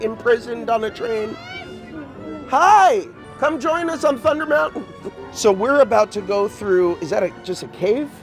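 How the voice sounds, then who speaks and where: A man speaks at a moderate pace with an extremely high pitch and lively intonation, leaving long, frequent pauses while music plays in the background. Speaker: actor. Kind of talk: comedic theme park guide spiel. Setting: outdoors.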